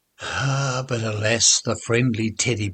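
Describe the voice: The clip is plain reading aloud.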